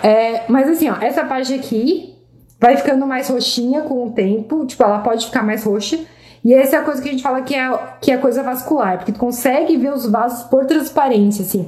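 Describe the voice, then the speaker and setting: Her dark, mellow tone and high pitch come at a fairly quick pace, with ordinary pitch variation and audible room echo around the woman. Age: 30s. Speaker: dermatologist. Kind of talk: live Q&A stream. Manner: casual, with many fillers.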